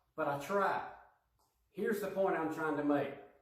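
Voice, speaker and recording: Room echo is audible around this male speaker. He keeps a moderate speed and his pitch varies in an ordinary way. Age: middle-aged. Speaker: lay preacher. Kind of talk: sermon.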